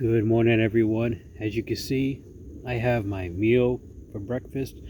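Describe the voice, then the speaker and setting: A man's medium-pitched voice sounds dark, mellow and somewhat breathy, with fairly even intonation. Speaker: outdoor vlogger. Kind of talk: casual vlog narration. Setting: outdoors at a campsite.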